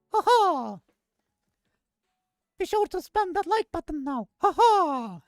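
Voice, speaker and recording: Squeaky and extremely high, a put-on character voice moves at a fairly slow pace with long, frequent pauses. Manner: laughing, cheerful.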